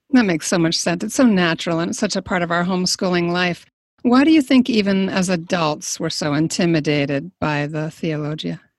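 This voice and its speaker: In a very clean recording with a silent background, a woman speaks in an ordinary speaking voice at a fairly low pitch, with ordinary pitch variation and a fairly quick pace. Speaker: podcast host. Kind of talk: interview, casual chat.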